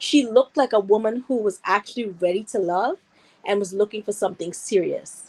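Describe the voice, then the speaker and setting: A woman with a Guyanese accent and a fairly high pitch, ordinary pitch variation, and a dry, close sound with no echo. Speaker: viewer calling in. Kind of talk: casual chat.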